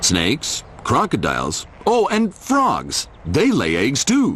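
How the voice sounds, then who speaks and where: Over clear background noise, a man performs a put-on character voice at a fairly slow pace. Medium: read story.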